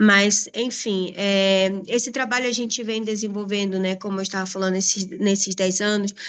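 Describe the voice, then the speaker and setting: A woman with a Brazilian accent talks at a fairly quick pace in a medium pitch, her intonation flat and monotone, with hardly any pauses. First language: Portuguese. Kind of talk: panel presentation. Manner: hesitant.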